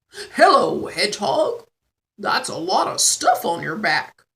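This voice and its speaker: This is a put-on character voice with a croaky sound. The pace is fairly slow. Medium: read story. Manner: helpful, friendly.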